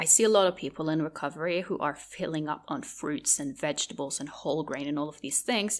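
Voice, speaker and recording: Over a very clean recording with a silent background, a woman with a Norwegian accent talks at a moderate pace with lively intonation. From Norway. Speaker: podcast host. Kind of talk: podcast monologue.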